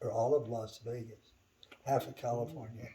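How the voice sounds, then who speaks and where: With a dark, mellow tone, a man speaks somewhat breathily at a fairly slow pace and with fairly even intonation. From US West (rural Idaho). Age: 80s+. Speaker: church member. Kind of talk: interview. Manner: casual, conversational.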